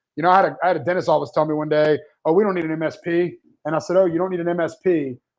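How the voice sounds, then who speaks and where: A man talks loudly and very fast at a high pitch. His intonation is fairly even. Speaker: managed IT services business owner. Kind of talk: live webinar discussion.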